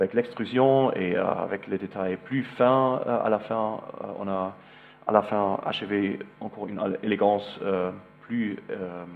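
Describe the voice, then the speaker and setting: Here a man speaks at a very slow pace. His fairly low voice holds a fairly even intonation. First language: German (speaking French). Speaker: architect. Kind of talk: lecture. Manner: halting, many hesitations.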